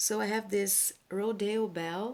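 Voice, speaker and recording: A woman speaks with a non-native accent and fairly even intonation. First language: not English. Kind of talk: casual talk to camera.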